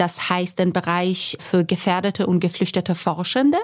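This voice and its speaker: In a very clean recording with a silent background, a woman speaks with a Persian accent. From Iran. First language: Persian (speaking German). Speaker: academic and activist. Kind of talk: panel discussion.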